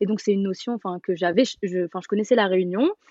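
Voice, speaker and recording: A woman has a normal speaking voice at a medium pitch. Her intonation stays fairly even. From Paris, France. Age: 20s. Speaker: traveller. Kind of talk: casual chat.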